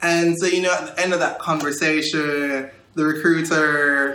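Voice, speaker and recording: A man talks with fairly high pitch and fairly even intonation. Noticeable background noise and audible room echo surround him. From Jamaica, Kingston. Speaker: recent college graduate. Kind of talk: interview.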